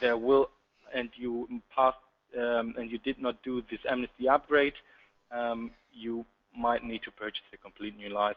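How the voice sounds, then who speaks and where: A moderate pace with a slight German accent, monotone and flat in intonation, broken by long, frequent pauses. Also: man, medium pitch for a man. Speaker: sales account manager. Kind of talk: webinar presentation. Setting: online webinar.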